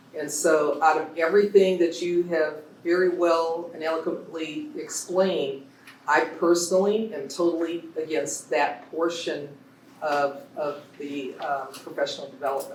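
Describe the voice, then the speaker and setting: There is audible room echo around a man with a high pitch. He speaks at a fairly slow pace with ordinary pitch variation. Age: 60s. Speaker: public commenter at school board meeting. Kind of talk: public comment at board meeting. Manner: animated.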